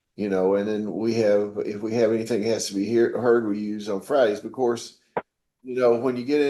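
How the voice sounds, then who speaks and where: His intonation stays fairly even. This man's voice sits at a medium pitch. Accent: Southern US. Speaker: judge. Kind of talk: court proceedings. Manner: informal, folksy; stammering repetitions. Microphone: audio quality bad today.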